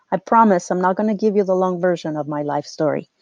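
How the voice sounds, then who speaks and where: A woman talks at a moderate pace, with a dry, close sound with no echo and a quiet background. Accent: Mexican. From Mexico. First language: Spanish. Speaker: real estate agent and podcast host. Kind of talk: scripted podcast monologue.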